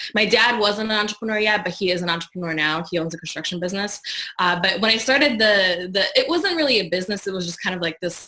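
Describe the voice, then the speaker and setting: A fairly quick pace, ordinary pitch variation and noticeable background noise. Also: woman. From Poland, moved to US at 13. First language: Polish. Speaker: digital marketing strategist. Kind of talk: interview.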